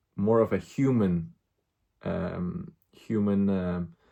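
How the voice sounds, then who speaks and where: There is a non-native accent in this man's speech. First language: not English. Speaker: vlogger, movie reviewer. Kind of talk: casual vlog movie review. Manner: halting, many fillers and repetitions; animated.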